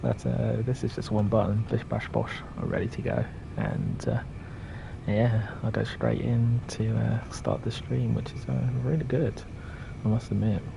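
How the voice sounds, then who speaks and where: Noticeable background noise sits behind a man speaking at a fairly slow pace with a very deep, low pitch and very wide pitch swings. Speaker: gaming streamer. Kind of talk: live game commentary. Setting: live stream from home at night. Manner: soft-spoken; halting.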